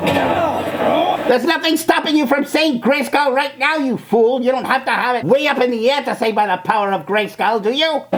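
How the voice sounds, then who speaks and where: A high, female-sounding put-on character voice at a moderate pace, with clear background noise. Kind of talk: reaction video commentary. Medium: role play. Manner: scornful, mocking.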